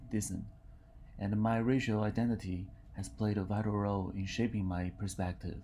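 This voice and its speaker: With a Mandarin accent, a man speaks in a fairly low pitch and a dark, mellow tone. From China. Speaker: university student. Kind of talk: reading aloud.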